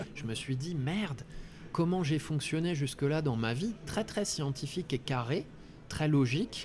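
At a fairly slow pace, a man with a fairly high pitch talks in a somewhat breathy voice with lively intonation. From France, Ardennes. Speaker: coach. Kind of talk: interview conversation.

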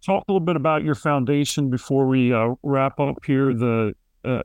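A man with a Philadelphia accent talks at a moderate pace. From Philadelphia, Kensington. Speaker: podcast host. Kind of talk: interview.

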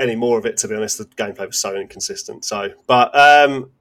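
Speaking at a very fast pace, a man uses a medium pitch with ordinary variation. He talks in a British accent. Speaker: gaming podcast co-host. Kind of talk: casual chat.

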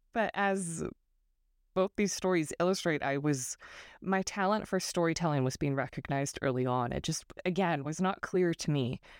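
A woman with a West Coast accent talks at a moderate pace in a fairly low pitch with ordinary variation, her voice dry and close with no echo. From northern California. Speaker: podcast host and fantasy author. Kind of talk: solo monologue.

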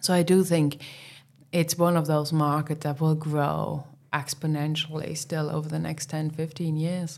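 A woman's very deep, low pitch in a monotone, flat delivery at a fairly slow pace. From East Germany. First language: German. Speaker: hotel managing director. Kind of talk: casual interview conversation. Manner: hesitant, with frequent filler words.

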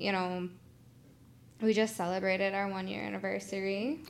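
A woman speaks at a moderate pace in a medium pitch, with ordinary pitch variation and an ordinary speaking voice. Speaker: podcast co-host, entrepreneur. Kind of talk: casual chat.

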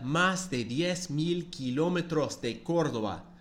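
With an English accent, a man speaks in an enthusiastic tone at a fairly high pitch, his voice showing vocal fry. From United States. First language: English (speaking Spanish). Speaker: podcast host, football fan. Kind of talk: casual monologue.

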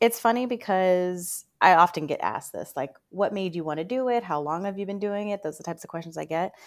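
A woman at a medium pitch talks at a very fast pace with hardly any pauses and ordinary pitch variation, in a very clean recording with a silent background. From Northern Virginia, US. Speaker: career coach. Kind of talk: interview.

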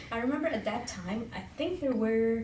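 A speaker with a Persian accent, moderate in pace and lively in intonation, with noticeable background noise and audible room echo. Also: woman. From Iran. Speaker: hiring manager. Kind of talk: interview.

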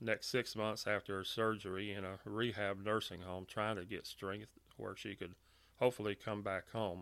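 Speaking in a Louisiana accent, a man uses a fairly low pitch and flat, monotone intonation. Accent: Southern US (Louisiana). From US South, Louisiana (Monroe). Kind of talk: personal testimony. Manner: hesitant with filler words and repetitions.

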